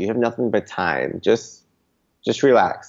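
A man with a normal speaking voice talks at a moderate pace and medium pitch, with ordinary pitch variation against a quiet background. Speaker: travel writer and blogger. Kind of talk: casual interview chat.

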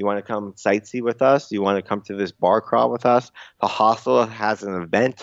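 Here a man has an ordinary speaking voice with a fairly low pitch. His pace is moderate and his pitch variation ordinary. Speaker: travel writer and blogger. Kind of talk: casual interview chat.

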